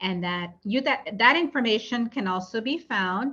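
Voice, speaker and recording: Lively intonation and a bright, sharp tone carry this moderately paced voice. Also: woman. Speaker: project presenter. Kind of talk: public meeting presentation. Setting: virtual meeting.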